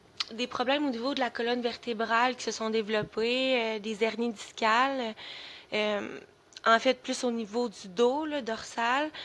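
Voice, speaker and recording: With a Quebec accent, a woman speaks at a fairly slow pace, her fairly high pitch held in fairly even intonation. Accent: Québécois French. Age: 20s. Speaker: special education worker on sick leave, chronic illness advocate. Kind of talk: podcast interview. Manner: halting, many fillers.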